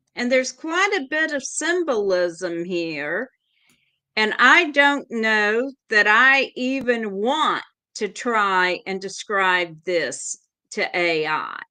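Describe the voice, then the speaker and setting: Against a quiet background, a woman with a fairly high pitch and a bright, sharp tone speaks very slowly with very wide pitch swings. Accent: Southern US. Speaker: tarot reader. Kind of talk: casual chat.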